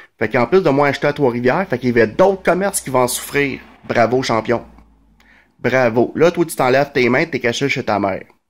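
With ordinary pitch variation, a man talks at a fairly quick pace. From Quebec, Montreal (Verdun); Quebec. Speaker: vlogger. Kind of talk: casual monologue commentary. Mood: sarcastic, indignant. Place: home room. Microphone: phone near.

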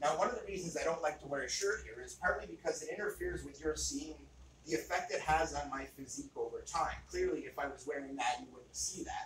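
A man talks very fast with big swings in loudness, with audible room echo and light background noise. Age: 40s. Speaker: archery and fitness video creator; fitness video creator. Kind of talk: tutorial. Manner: casual. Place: home room.

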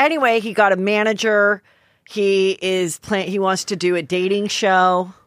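A woman at a fairly slow pace with ordinary pitch variation, in a dry sound with no echo and a quiet background. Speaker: comedian and podcast host; comedian, podcast host. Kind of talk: casual chat. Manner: animated. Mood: gossipy, joking. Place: studio. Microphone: studio mic.

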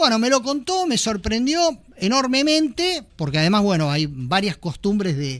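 This man speaks at a fairly slow pace with a Rioplatense accent, his pitch swinging very widely. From Argentina. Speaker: podcast host. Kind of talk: casual chat. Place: studio. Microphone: studio mic.

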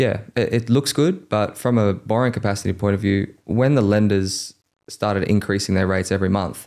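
Against a quiet background, a man with an Australian accent talks fairly quickly in a fairly low voice, his pitch varying in an ordinary way and his loudness very even. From Australia, Campbelltown (Sydney). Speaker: mortgage broker, podcast co-host; podcast co-host. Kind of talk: casual chat; podcast conversation. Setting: studio. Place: studio. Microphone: studio mic.

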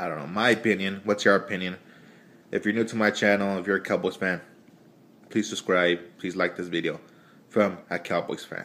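A man's fairly low voice with a bright, sharp tone, a fairly quick pace and long, frequent pauses. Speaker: sports fan vlogger. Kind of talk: angry sports rant, profane opinion monologue. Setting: video blog to camera. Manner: animated, loud, heated; casual, rambling, stream-of-consciousness. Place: home room. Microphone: phone near.

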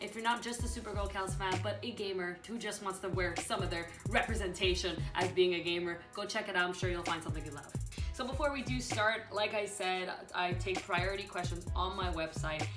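Clear music plays behind a woman's voice. She speaks at a fairly quick pace with ordinary pitch variation. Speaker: gaming vlogger. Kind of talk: casual vlog chat. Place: home room.

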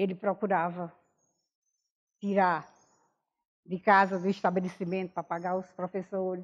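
Speaking at a moderate pace, a woman with a medium pitch sounds monotone and flat, leaving long, frequent pauses. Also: quiet background. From Alagoas, Brazil (rural Junqueiro); Alagoas, Brazil. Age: 70s. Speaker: interviewee recounting life story; interviewee. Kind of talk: oral history testimony. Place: home room. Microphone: lapel.

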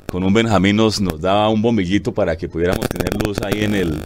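Fairly quick speech from a man with a fairly low pitch and fairly even intonation, over noticeable background noise. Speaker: radio announcer and director of a local radio station. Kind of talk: interview answer telling personal life story. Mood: warm, grateful storytelling. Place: studio. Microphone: lapel.

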